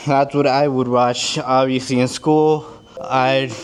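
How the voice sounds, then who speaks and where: This man's voice sits fairly high in pitch. His intonation is monotone and flat. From US, Mexican-American family. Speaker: fitness vlogger. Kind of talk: casual vlog monologue. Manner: halting, repeats words; casual, slangy.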